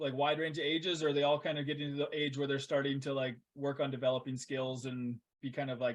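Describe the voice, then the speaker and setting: In a Canadian accent, a man talks at a fairly quick pace, his fairly high voice flat and monotone. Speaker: podcast host. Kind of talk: casual conversation.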